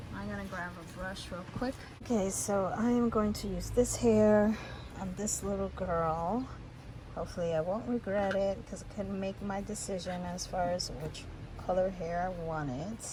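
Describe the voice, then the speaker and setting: Soft-spoken and medium in pitch, a woman talks at a moderate pace with ordinary pitch variation, amid noticeable background noise and audible room echo. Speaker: doll maker. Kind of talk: tutorial.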